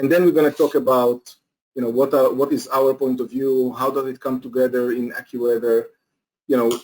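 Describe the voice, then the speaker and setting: Talking at a fairly quick pace, a man with a non-native accent uses a medium-pitched voice and flat, monotone intonation. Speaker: company executive presenter. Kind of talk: webinar presentation. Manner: halting, many fillers.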